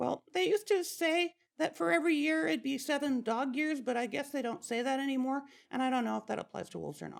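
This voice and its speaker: A female-sounding, high-pitched put-on character voice rattles along at a very fast pace. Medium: stage play. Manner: hesitant, halting.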